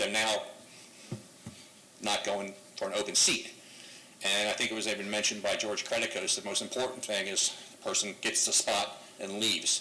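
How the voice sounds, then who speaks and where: Long, frequent pauses break up a man's moderately paced speech, heard with audible room echo and noticeable background noise. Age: 60s. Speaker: public commenter at council meeting. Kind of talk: public comment. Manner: halting, filler-heavy.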